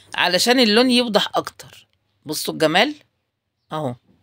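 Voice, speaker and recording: Spoken with an Egyptian accent at a fairly slow pace, the voice makes very wide pitch swings. The sound is dry and close, with no echo. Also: woman. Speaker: DIY crafts youtuber. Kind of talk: tutorial. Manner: casual, hesitant with fillers.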